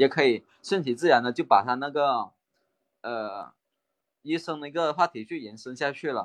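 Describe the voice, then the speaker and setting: A man's fairly high voice at a moderate pace, with ordinary pitch variation, big swings in loudness and long, frequent pauses. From Guangdong, Maoming. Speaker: real estate rental worker, trainee. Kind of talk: casual chat practice. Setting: online voice call.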